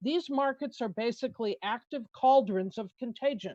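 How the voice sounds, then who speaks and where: A woman with an American accent speaks in a plain, everyday voice, fairly high in pitch. She keeps a moderate pace with ordinary pitch variation. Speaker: conservation policy expert. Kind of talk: testimony. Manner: formal.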